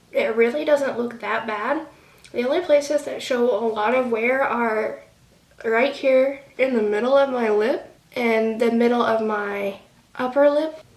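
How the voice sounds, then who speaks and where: Over noticeable background noise and audible room echo, a woman with a high voice speaks at a fairly slow pace with fairly even intonation. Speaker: beauty vlogger. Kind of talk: casual product review vlog. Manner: casual with many fillers.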